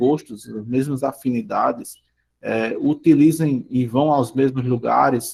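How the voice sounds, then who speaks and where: A man's dark, mellow tone with fairly even intonation, in a northeastern Brazilian accent. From Brazilian Northeast. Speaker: school teacher. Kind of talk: online class lecture. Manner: halting, many fillers.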